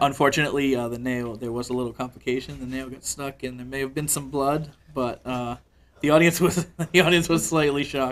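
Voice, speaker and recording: A man with a plain, everyday voice speaks at a fairly quick pace and medium pitch, his intonation fairly even but his loudness swinging widely. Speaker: sideshow performer. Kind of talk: interview answer, casual conversation.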